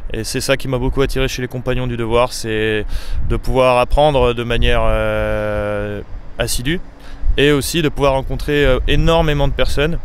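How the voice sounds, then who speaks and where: There is audible room echo and noticeable background noise. Through it, a man talks at a moderate pace. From France, Savoie (Chambéry). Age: 20s. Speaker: apprentice roofer. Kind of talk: interview. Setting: outdoors on a Paris rooftop. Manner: hesitant, many fillers.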